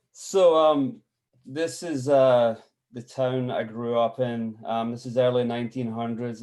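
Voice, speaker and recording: Recorded very cleanly against a silent background, a man with a Scottish accent speaks fairly slowly at medium pitch. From Scotland, village about twenty miles southeast of Glasgow. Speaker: photographer. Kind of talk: artist talk presentation. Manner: halting with many fillers.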